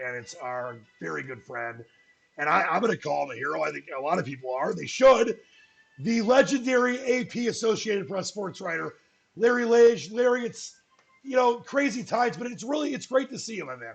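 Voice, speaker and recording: Using very wide pitch swings, a man talks in a high pitch. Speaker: radio sports show host. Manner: enthusiastic, conversational.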